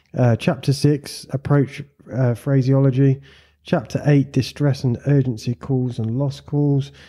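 In a very clean recording with a silent background, a man speaks with monotone, flat intonation. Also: medium pitch for a man, fairly slow pace. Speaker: podcast host and flight school owner. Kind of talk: casual interview chat.

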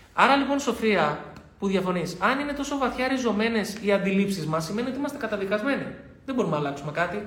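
A man speaks very fast in a high, lively voice. The room echoes audibly and background noise is noticeable. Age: 30s. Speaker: life coach and author. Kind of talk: live stream talk. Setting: studio.

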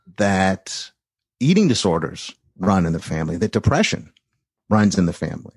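A man with an American accent speaks at a very deep, low pitch with ordinary pitch variation and long, frequent pauses, recorded dry and close with no echo against a quiet background. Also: moderate pace. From US West Coast, San Francisco Bay Area. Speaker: interviewee sharing mental health story. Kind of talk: interview, personal testimony. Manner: halting, many fillers and restarts.

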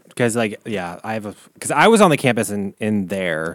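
With lively intonation, a man talks at a fairly low pitch. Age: 30s. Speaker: podcast host. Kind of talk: casual chat. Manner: fast talker; animated.

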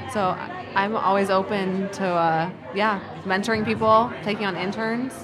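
Fairly even intonation comes at a fairly slow pace, with noticeable background noise and audible room echo. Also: woman, medium pitch for a woman. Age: 20s. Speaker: small business owner. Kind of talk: casual interview.

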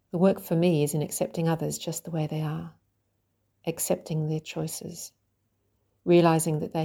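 A woman's very deep, low voice, dark and mellow, somewhat breathy, in a flat monotone at a moderate pace, on a very clean recording with a silent background. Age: 50s. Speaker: writer and coach. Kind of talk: reading aloud.

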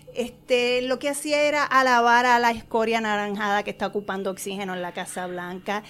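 A woman's animated, fairly high voice with lively intonation, a fairly quick pace and hardly any pauses, over noticeable background noise. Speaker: actress and stage producer. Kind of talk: casual chat.

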